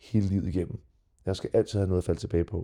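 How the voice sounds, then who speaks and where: Dry and close with no echo, the recording captures a man's fairly low, dark, mellow voice delivered in a flat monotone. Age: 40s. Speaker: retired mixed martial arts fighter. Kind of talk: casual interview. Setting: studio. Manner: hesitant, many fillers.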